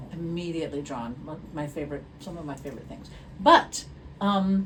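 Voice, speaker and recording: Amid noticeable background noise and audible room echo, a woman talks at a fairly quick pace with fairly low pitch, ordinary pitch variation and big swings in loudness. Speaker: podcast co-host, performing arts staff and former stage actor. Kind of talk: casual chat.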